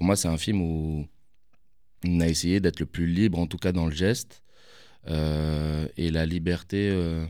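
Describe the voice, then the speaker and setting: A man speaks at a very slow pace in a very deep, low voice with a dark, mellow tone, his intonation monotone and flat. He leaves long, frequent pauses, and the recording is very clean with a silent background. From Paris, Belleville. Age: 30s. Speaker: film director. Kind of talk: interview. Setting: studio.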